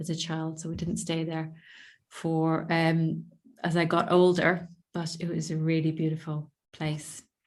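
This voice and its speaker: A woman with an Irish accent, fairly low in pitch, monotone and flat, at a fairly slow pace. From Ireland, east coast between Dublin and Belfast. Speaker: visibility mentor and poet. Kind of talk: podcast interview. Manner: gentle, soft-spoken; halting, self-correcting.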